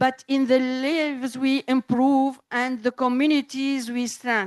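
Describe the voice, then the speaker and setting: A woman with a non-native accent speaks in a high voice at a fairly slow pace. Her intonation is monotone and flat, and the sound is dry and close with no echo. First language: French and Arabic. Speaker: official speaker. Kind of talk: formal speech.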